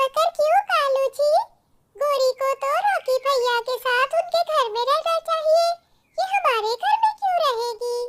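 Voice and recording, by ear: An extremely high, female-sounding cartoonish character voice moves at a fairly slow pace.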